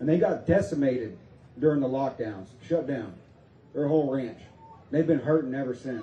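Pausing long and often at a moderate pace, a man speaks with audible room echo. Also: ordinary pitch variation. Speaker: rally emcee and preacher. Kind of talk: rally speech, Bible-laced sermon-style patriotic address. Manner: energetic, folksy, stirring, crowd-rousing. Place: open country.

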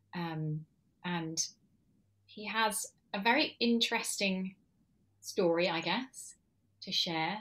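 Speaking at a very slow pace with long, frequent pauses, a woman delivers her words in a bright, sharp tone. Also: ordinary pitch variation. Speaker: podcast host and interviewer. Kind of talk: casual interview conversation. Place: home room.

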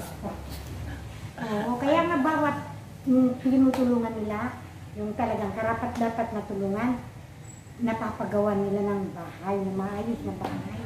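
With long, frequent pauses, a woman speaks at a fairly slow pace in a fairly high pitch, with light background noise and audible room echo. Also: ordinary pitch variation. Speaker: interviewed grandmother. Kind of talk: interview answer. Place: home room. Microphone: camera far.

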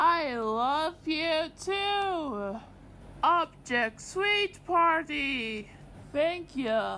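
Using a cartoonish character voice pitched extremely high, a woman speaks at a very slow pace over clear background noise. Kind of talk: comic overacting. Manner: angry, shouting, menacing.

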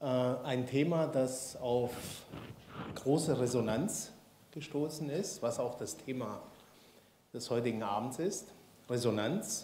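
Very slow speech from a man at a medium pitch, with ordinary pitch variation, long, frequent pauses, audible room echo and light background noise. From Swabia, Baden-Württemberg. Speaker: institute director and event host. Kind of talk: speaker introduction. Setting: lecture hall with audience. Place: hall. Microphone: handheld.

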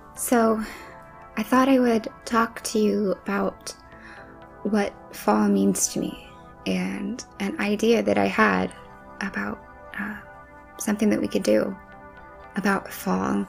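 A soft-spoken woman talks at a very slow pace, with long, frequent pauses. Faint music plays in the background. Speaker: ASMR creator. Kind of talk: ASMR soft talking. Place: home room. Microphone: studio mic.

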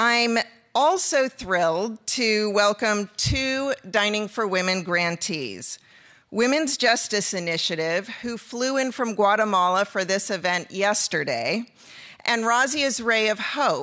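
Pitched fairly high, a woman speaks at a very slow pace with lively intonation and a bright, sharp tone. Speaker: event organizer. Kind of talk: welcome address. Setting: studio with audience.

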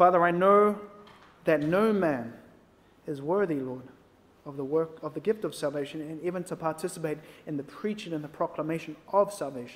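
A man speaks fairly quickly in a fairly high pitch with ordinary pitch variation. Long, frequent pauses break up his speech. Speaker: prayer leader. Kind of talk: closing prayer. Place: church.

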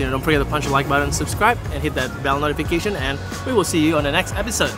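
Clear music plays behind a man who talks at a very fast pace, the sound dry with no echo. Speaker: food vlogger. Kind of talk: casual vlog chat. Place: street. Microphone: phone near.

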